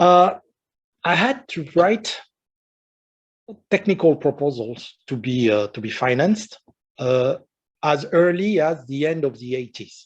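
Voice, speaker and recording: A man in a strong French accent, fairly high pitch, lively intonation, and long, frequent pauses. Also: fairly slow pace. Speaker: retired research engineer and science fiction writer. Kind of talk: lecture. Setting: conference talk with audience. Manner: halting, many fillers.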